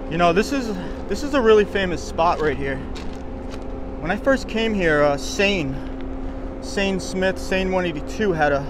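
A man with a high pitch speaks at a moderate pace with long, frequent pauses, the sound dry with no echo and noticeable background noise behind him. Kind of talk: casual vlog chat. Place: open country. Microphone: phone near.

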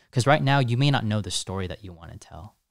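A man at a fairly quick pace with ordinary pitch variation, dry sound with no echo and a quiet background. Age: 20s. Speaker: content creator and coach; content creator, coach. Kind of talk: casual chat. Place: studio. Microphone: studio mic.

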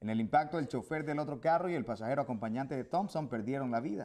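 The speech moves at a very fast pace. Its pitch variation is ordinary. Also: man, quiet background. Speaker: news anchor. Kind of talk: news reading. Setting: studio. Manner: formal, brisk and steady broadcast delivery. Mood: calm, formal. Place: studio. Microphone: lapel.

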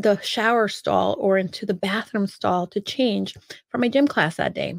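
Her intonation is lively and her pace moderate. The woman is heard in a dry sound with no echo against a quiet background. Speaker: speaker. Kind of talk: personal storytelling talk. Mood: animated, humorous. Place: home room. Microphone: studio mic.

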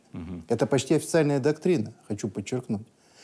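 A man's dark, mellow tone with lively intonation. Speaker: expert guest. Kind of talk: studio discussion. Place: studio.

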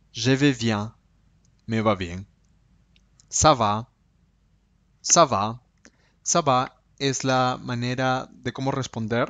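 The speech moves at a very slow pace, broken by long, frequent pauses. Pitch varies in an ordinary way. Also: man, medium pitch for a man. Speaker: language teacher. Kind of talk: tutorial.

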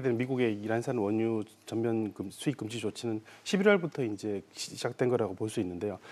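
His tone is dark and mellow. The man talks at a moderate pace with ordinary pitch variation. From South Korea. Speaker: economics professor. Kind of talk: news interview. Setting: studio. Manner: halting, many fillers. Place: studio. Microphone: lapel.

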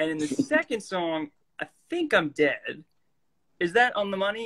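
Over a quiet background, a man speaks with lively intonation and a bright, sharp tone. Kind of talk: casual live-stream chat. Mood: playful, laughing anecdote. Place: home room. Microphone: phone near.

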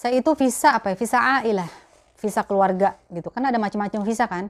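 A woman's fairly high-pitched voice with ordinary pitch variation. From Jakarta, Betawi; Jakarta. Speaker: YouTuber, mother; YouTuber. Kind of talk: casual Q&A vlog. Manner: chatty, laughing. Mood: relaxed, warm, animated. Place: home room. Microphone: lapel.

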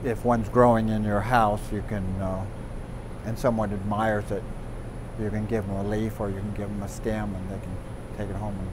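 A man's fairly low voice in monotone, flat intonation at a fairly quick pace, over noticeable background noise. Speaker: plant expert guide. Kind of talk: interview answer. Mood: warm and amused.

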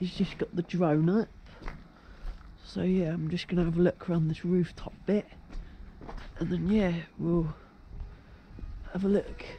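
At a moderate pace, the speech comes with long, frequent pauses over light background noise. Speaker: urban explorer vlogger. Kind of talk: casual vlog chat. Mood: excited, curious. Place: open country. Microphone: phone near.

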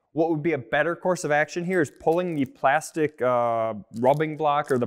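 A man at a moderate pace with ordinary pitch variation, against a quiet background. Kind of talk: tutorial. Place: workshop.

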